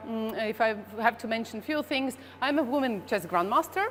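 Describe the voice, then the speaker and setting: A woman with a Latvian accent at a moderate pace. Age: 40s. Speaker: chess grandmaster. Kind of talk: presentation. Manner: halting, many fillers and repeats.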